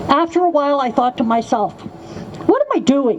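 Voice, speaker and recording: Noticeable background noise sits behind a woman speaking at a high pitch with lively intonation. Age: 70s. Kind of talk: testimony.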